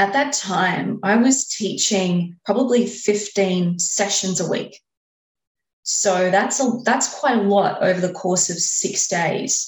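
A woman speaks at a very slow pace in an Australian accent. Her pitch is medium with ordinary variation. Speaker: exercise and lifestyle coach. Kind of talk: interview.

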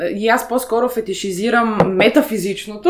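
Moderate-paced speech from a woman over noticeable background noise. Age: 30s. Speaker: interviewee sharing personal BDSM experience. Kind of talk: interview. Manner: halting, many fillers.

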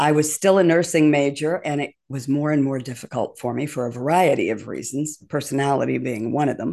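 Against a quiet background, a woman with an American accent and a very deep, low pitch speaks at a fairly quick pace with vocal fry, ordinary pitch variation and hardly any pauses. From US Midwest, Glenview, Illinois. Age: 70s. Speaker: speaking coach and former radio news anchor. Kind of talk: interview.

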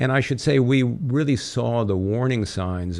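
A man speaks with an American accent. His pace is moderate. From US West Coast, San Francisco Bay Area. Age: 60s. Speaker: real estate developer and company chairman. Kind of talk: interview. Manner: articulate.

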